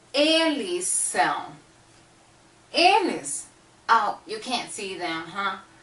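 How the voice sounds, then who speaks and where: Over noticeable background noise and audible room echo, a woman with a Brazilian accent speaks at a very slow pace with very wide pitch swings. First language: Portuguese. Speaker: language teacher. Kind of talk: tutorial.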